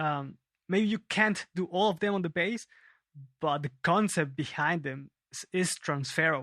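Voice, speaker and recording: On a very clean recording with a silent background and a dry, close sound with no echo, a man speaks at a fairly slow pace in a high, bright and sharp voice with ordinary pitch variation. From Peru, Lima. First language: Spanish. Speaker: bass player and teacher. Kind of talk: casual interview. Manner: halting.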